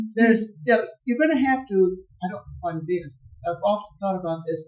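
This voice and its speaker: A woman with an American accent speaks at a fairly quick pace with lively intonation. Her medium-pitched voice is somewhat breathy. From Southern Arizona, Mexican American. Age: 80s+. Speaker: audience member. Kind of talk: audience Q&A comment.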